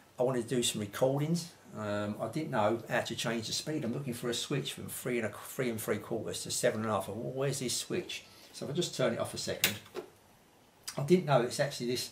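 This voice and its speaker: There is noticeable background noise. A man talks at a very fast pace with ordinary pitch variation. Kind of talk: tutorial. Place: home room.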